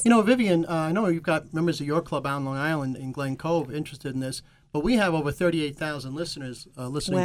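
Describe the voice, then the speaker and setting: A man with an American accent talks at a very fast pace with hardly any pauses. His pitch is fairly high, with ordinary variation. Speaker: radio talk show co-host. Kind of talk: broadcast presenter style. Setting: radio studio.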